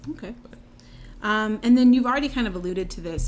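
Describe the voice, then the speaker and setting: A woman's unremarkable speaking voice with an American accent, lively intonation and a fairly quick pace. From North Carolina. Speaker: podcast host. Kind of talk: casual chat.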